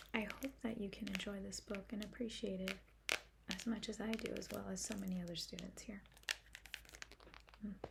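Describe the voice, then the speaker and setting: Soft-spoken and gentle in tone, a woman talks at a fairly quick pace but with long, frequent pauses, against noticeable background noise. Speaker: ASMR creator doing a school librarian roleplay. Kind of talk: ASMR roleplay talking to the listener. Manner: soft-spoken, gentle, friendly.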